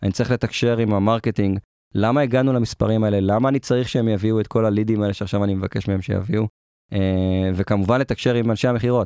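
Talking at a very fast pace with very even loudness, a man uses a fairly low, dark, mellow voice and fairly even intonation, recorded dry and close with no echo against a quiet background. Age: 30s. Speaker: product manager. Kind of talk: interview.

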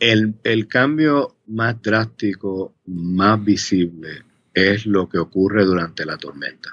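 The man's voice is fairly low. He talks at a very slow speed. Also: ordinary pitch variation. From Puerto Rico (Río Piedras). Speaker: policy analyst at a think tank. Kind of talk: interview. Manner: halting, with many fillers and repetitions.

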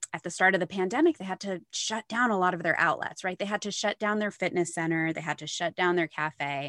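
A woman with an American accent and an ordinary speaking voice talks at a fairly low pitch in a dry, close sound with no echo. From upstate New York. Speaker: marketing agency founder. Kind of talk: interview.

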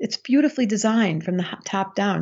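The woman has a plain, everyday voice. Her intonation is lively and her pace moderate. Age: 60s. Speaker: astrologer and psychotherapist. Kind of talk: casual interview chat.

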